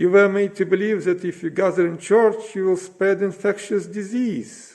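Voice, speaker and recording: A man with a non-native accent speaks in a high pitch. His intonation is monotone and flat. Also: moderate pace. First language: not English. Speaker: citizen giving a political speech. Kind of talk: prepared speech. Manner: impassioned, rhetorical.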